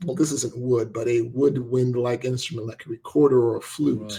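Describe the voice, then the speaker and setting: A man's dark, mellow, somewhat breathy voice at a medium pitch, with ordinary pitch variation and a moderate pace. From Nigeria. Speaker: podcast co-host. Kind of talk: casual chat; explanation. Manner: animated.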